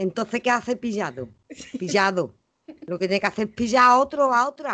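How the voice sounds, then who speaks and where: Speaking at a moderate pace with lively intonation, a woman talks in an Andalusian accent. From Andalusia, Los Palacios (Seville). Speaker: podcast co-host. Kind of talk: casual chat. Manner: animated.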